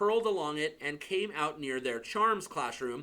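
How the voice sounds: Lively intonation in a natural reading voice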